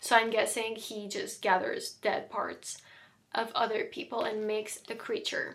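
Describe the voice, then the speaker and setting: A woman talks at a fairly slow pace, her loudness swinging widely. Room echo is audible. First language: not English. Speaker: book content creator. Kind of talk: casual vlog talk.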